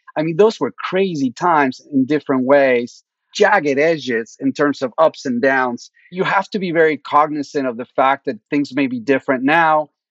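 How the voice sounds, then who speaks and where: A man speaks with a Spanish accent at a fairly high pitch. His pitch varies in an ordinary way, and the sound is dry and close with no echo. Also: moderate pace. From Mexico (Mexico City). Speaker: venture capitalist. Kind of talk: interview.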